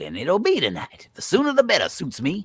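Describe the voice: A man puts on a character voice, pitched high with very wide swings, a fairly bright tone with a slightly husky edge, and a fairly quick pace.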